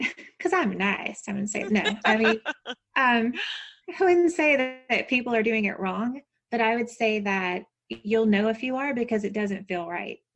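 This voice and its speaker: Speaking with a Southern US accent, a woman uses a fairly high pitch with ordinary pitch variation at a moderate pace. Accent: Southern American. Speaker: business strategist and coach. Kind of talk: podcast interview answer.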